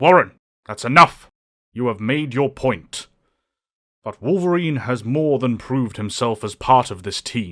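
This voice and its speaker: Over a very clean recording with a silent background, a man does a put-on character voice at medium pitch and a moderate pace, with long, frequent pauses. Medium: audio drama. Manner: calm, authoritative.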